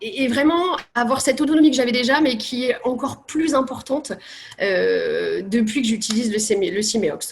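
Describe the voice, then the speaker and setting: A woman, high-pitched, with lively intonation at a moderate pace over noticeable background noise. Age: 30s. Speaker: patient with cystic fibrosis. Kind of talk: testimony.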